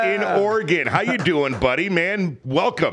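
A man speaks at a fairly slow pace with a high pitch and lively intonation. There is noticeable background noise behind him. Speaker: podcast host.

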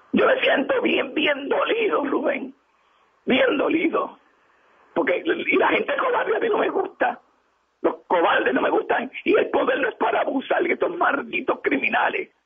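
Speaking at a fairly slow pace, a man with an extremely high pitch and an animated tone makes very wide pitch swings while keeping his loudness very even. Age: 60s. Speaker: community leader. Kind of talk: radio interview.

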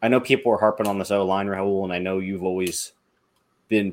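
A normal speaking voice from a man, fairly low-pitched, fairly quick, with fairly even intonation on a very clean recording with a silent background. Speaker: podcast host. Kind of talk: casual sports discussion.

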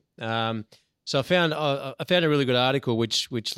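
The recording of a man with an Australian accent has a dry, close sound with no echo. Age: 40s. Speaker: podcast co-host. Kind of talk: casual chat.

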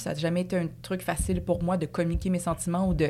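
A woman with a Quebec accent speaks fairly quickly at a fairly low pitch. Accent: Québécois French. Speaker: dancer and actress. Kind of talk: casual chat.

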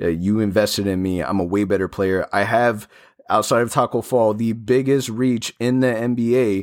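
On a very clean recording with a silent background, a man speaks in a plain, everyday voice at medium pitch. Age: 30s. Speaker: sports podcast host. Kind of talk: casual chat. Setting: studio.

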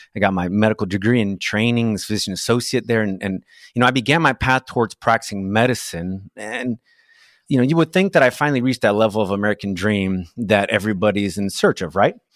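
A man with a Portuguese accent at a very fast pace, fairly low in pitch with ordinary pitch variation, dry and close with no echo, on a very clean recording with a silent background. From Brazil. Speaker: physician and real estate investor. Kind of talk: interview.

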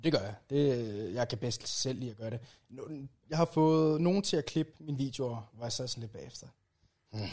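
A man talks at a moderate pace in a medium-pitched, dark, mellow voice that is somewhat breathy. His pitch varies in an ordinary way, broken by long, frequent pauses. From rural Jutland, Denmark. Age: 20s. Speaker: YouTuber and video editor. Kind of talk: casual interview chat. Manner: halting, repeats words.

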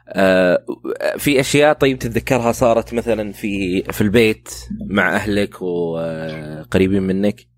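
Fairly slow and fairly low-pitched, a man with an ordinary speaking voice keeps his loudness very even while his intonation stays lively. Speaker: podcast host. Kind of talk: interview.

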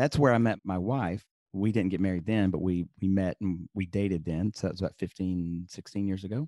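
Over a quiet background, a man with a very deep, low pitch and a dark, mellow tone talks at a fairly quick pace with ordinary pitch variation and a slight Southern US accent, in a dry, close sound with no echo. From Birmingham, Alabama. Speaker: papermaker and podcaster, former lawyer and professor. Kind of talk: casual interview chat.

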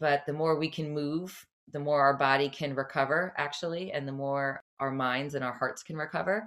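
In a very clean recording with a silent background, a woman with an American accent speaks at a moderate pace in a very deep, low pitch with fairly even intonation. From New Jersey, near New York City. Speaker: cycle and fitness instructor. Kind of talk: interview.

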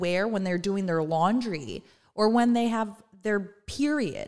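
A woman with an American accent talks fairly slowly in an ordinary speaking voice, her intonation lively. The recording is very clean, with a silent background. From Southern California. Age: 30s. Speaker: cookbook author and content creator. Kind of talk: casual chat.

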